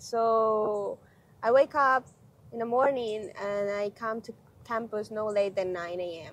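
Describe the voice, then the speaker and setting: A woman with a Spanish accent, fairly high pitch, ordinary pitch variation and a fairly slow pace. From Honduras. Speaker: graduate student. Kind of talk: interview.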